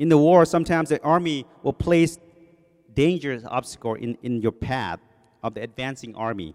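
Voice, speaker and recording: A man with a Thai accent, a fairly high pitch and lively intonation, at a moderate pace, in a dry, close sound with no echo. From Thailand. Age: 40s. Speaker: lay preacher, engineer. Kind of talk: sermon. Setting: church. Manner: speeds up when nervous.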